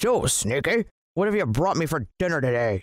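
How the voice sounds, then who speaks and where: In a put-on character voice, a man talks at a moderate pace and fairly high pitch. His pitch swings very widely. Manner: bellowing, loud.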